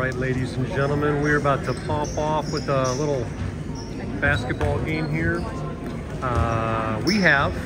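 A man talks at a fairly slow pace while clear music plays behind him. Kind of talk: casual vlog chat. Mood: upbeat, excited. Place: hall. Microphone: phone near.

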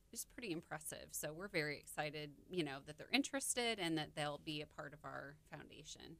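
A woman with an American accent speaks at a fairly quick pace, with hardly any pauses. Her pitch is very deep and low, with ordinary pitch variation. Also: big swings in loudness. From Illinois, US Midwest. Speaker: foundation representative guest; radio guest. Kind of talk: casual radio interview. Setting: studio. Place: studio.

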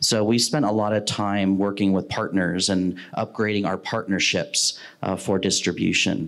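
A man's fairly low voice, a normal speaking voice, at a moderate pace with fairly even intonation and very even loudness against a quiet background. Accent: American. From Ohio, US Midwest. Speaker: video production executive; panelist. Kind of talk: panel discussion. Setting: stage with live audience. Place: meeting room. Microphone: handheld.

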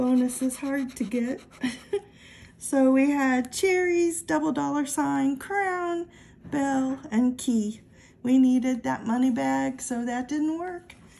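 A woman's high-pitched voice, dark and mellow in tone, at a very slow pace with ordinary pitch variation. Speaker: lottery ticket scratching vlogger. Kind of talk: casual vlog commentary. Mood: mildly pleased, relaxed. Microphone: phone near.

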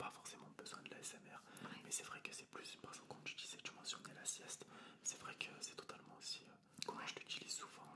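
A fairly quick whisper. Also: man. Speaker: interviewer, channel host. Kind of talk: interview questions. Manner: whispered. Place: home room. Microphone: studio mic.

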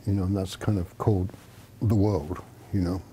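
This man has a fairly low pitch and a dark, mellow, somewhat breathy tone. Light background noise is present. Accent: American. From Australia. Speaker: Zen teacher. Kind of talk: dharma talk. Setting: meditation hall with audience. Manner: casual, halting with fillers. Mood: calm, reflective, warm. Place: home room. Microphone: lapel.

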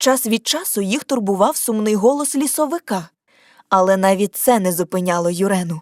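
A woman speaks in an ordinary speaking voice at medium pitch and moderate pace. The sound is dry and close with no echo. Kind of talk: scripted audiobook narration of a fairy tale.

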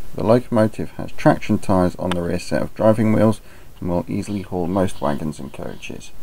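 A man mumbles at a fairly quick pace in a very deep, low pitch. Noticeable background noise is present. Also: ordinary pitch variation. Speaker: model railway hobbyist. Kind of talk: hobby product review narration. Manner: mumbled, occasional stutter.

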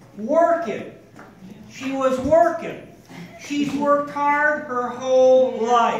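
A man with an extremely high pitch is heard with audible room echo and light background noise. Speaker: family member giving a tribute. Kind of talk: birthday speech. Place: hall.

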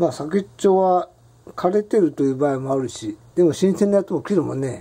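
A man talks at a fairly quick pace, his voice high-pitched and his pitch variation ordinary. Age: old. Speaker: vlogger. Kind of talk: casual cooking monologue. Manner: relaxed, self-talk with laughter. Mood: relaxed, reflective. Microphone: phone near.

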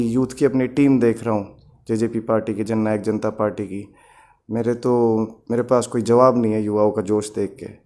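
The voice is dark and mellow in tone, moving at a fairly slow pace with monotone, flat intonation. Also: man. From Haryana, India. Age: 30s. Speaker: election candidate. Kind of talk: interview. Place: home room. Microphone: handheld.

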